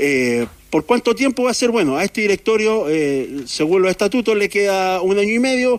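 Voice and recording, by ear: A man's high-pitched voice at a moderate pace, with big pitch swings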